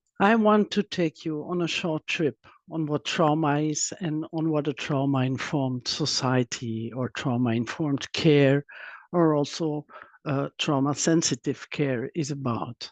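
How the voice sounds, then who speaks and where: The speaker has a non-native accent and goes at a fairly slow pace. The background is quiet. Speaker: trauma expert and psychotherapist. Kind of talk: webinar presentation. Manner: halting, with fillers and restarts.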